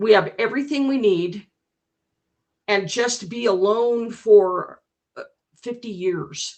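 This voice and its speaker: A woman with a fairly high voice talks very slowly, with ordinary pitch variation and long, frequent pauses. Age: 60s. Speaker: debate participant. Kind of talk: heated debate. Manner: halting.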